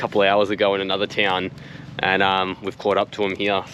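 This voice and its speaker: Clear of nothing, noticeable background noise runs under a man with an Australian accent who talks at a fairly quick pace in a fairly low pitch. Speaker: motorcycle vlogger. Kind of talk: casual travel vlog.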